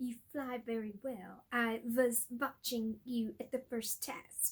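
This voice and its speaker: A put-on character voice, fairly slow, in a monotone, flat delivery. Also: woman, high pitch for a woman. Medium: read story. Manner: terse, blunt.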